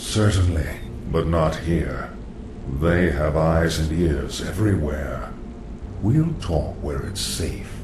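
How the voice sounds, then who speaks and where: A man's cartoonish character voice, very deep and low, at a very slow pace, with slight echo and loud background noise. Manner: calm, knowing, ominous.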